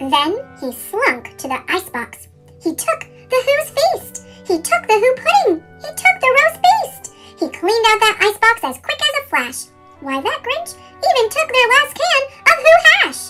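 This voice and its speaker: In a put-on character voice, a woman speaks at a moderate pace, squeaky and extremely high-pitched with very wide pitch swings, as music plays in the background. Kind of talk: sped-up chipmunk read-aloud. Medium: read story.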